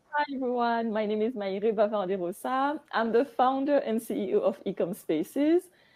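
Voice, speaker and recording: With a French accent, a woman talks at a fairly high pitch with lively intonation and hardly any pauses. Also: moderate pace. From Guadeloupe. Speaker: business founder. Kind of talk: panel discussion.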